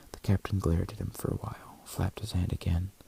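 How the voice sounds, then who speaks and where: Someone soft-spoken talks at a very fast pace. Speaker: ASMR content creator. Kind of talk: ASMR audiobook reading.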